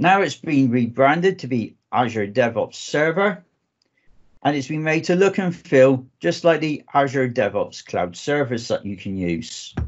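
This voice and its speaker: The speaker has a southwest English accent and talks at a moderate pace. The pitch swings very widely. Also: man. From southwest England. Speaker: database architect, conference speaker. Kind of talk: technical presentation.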